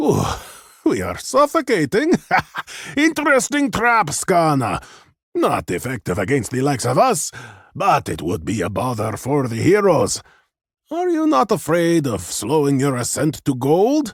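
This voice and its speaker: A man in a put-on character voice talks at a moderate pace with a fairly high pitch and long, frequent pauses, on a very clean recording with a silent background. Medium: read story. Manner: theatrical, playful.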